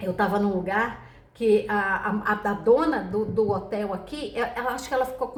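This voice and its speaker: A soft-spoken woman with a medium pitch talks in an animated tone, with ordinary pitch variation. The room echo is audible and the background noise is noticeable. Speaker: tarot reader. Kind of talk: casual chat.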